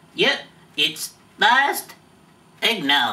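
The man is doing a put-on character voice. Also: extremely high pitch for a man. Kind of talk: comedic ventriloquist sketch.

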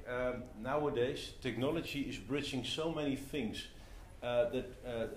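A man talks with fairly even intonation over light background noise, with audible room echo. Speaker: speaker. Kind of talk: talk to audience. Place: meeting room. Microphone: camera far.

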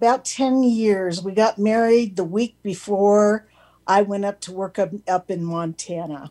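Against a quiet background, a woman with an American accent speaks fairly slowly in a dark, mellow tone with ordinary pitch variation. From Southern California. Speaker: call-in panel member. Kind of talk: casual chat. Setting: video call. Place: home room. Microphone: video call.

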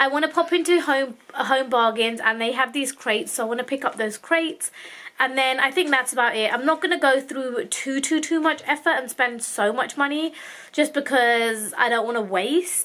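At a moderate pace, a woman speaks in a raised, projected voice with a bright, sharp tone. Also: ordinary pitch variation. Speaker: mother vlogger. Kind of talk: casual vlog chat. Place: home room. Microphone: phone near.

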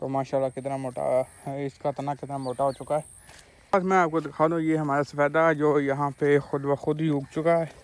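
Fairly high for a man, his voice keeps a moderate pace and fairly even intonation.

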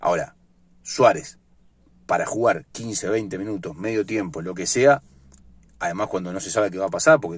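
A man with a fairly low pitch talks at a moderate pace with lively intonation, in a dry sound with no echo. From Uruguay. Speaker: sports vlogger. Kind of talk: casual sports commentary monologue. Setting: in a car. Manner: halting, many fillers and repetitions. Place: car. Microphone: phone near.

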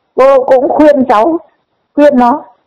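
Against a quiet background, a woman with a high pitch speaks at a fairly slow pace. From northern Vietnam. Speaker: viewer sharing opinions. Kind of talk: emotional opinion rant. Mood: earnest, disapproving. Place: open country. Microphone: lapel.

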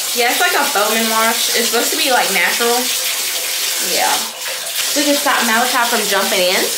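The speaker goes at a fairly quick pace. Loud background noise runs underneath. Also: woman. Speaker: mother vlogger. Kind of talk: casual vlog chat.

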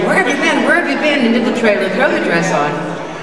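A woman's voice with audible room echo and loud background noise. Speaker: guest. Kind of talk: anecdote to an audience. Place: stage.

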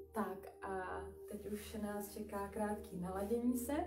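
Clear music plays in the background as a woman speaks at a very slow pace. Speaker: exercise instructor. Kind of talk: live stream instruction talk. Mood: calm, gentle. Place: home room. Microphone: webcam.

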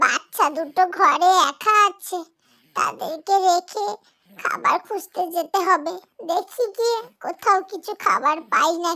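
At a very slow pace, a female-sounding cartoonish character voice speaks at an extremely high pitch. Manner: motherly, caring.

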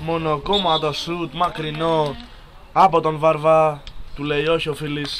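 A man's very slow, monotone delivery, fairly high in pitch, flat in intonation, with long, frequent pauses. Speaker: football commentator. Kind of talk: live commentary.

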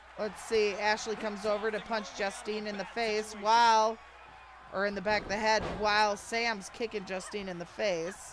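The voice is monotone, with flat intonation, at a moderate pace. Music plays in the background. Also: woman, fairly high pitch for a woman. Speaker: wrestling commentator. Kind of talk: live wrestling commentary. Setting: Twitch stream.

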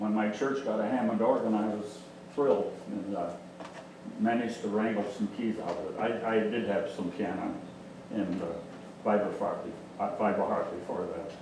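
In a room with audible echo, a man speaks at a moderate pace with fairly low pitch, a slightly mellow tone and fairly even intonation.

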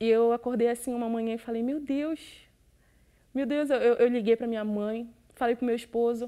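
Against a quiet background, a woman with a dark, mellow tone talks at a fairly quick pace. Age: 20s. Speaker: church member giving testimony. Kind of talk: testimony. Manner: halting. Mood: emotional, grateful. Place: studio.

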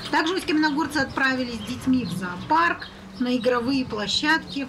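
Amid noticeable background noise, a woman with a high pitch speaks at a moderate pace. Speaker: news correspondent. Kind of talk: live report.

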